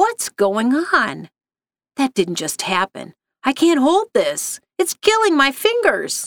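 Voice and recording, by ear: In a put-on character voice with a dry, close sound and no echo, a woman speaks slowly at a high pitch, with very wide pitch swings and a fairly bright tone.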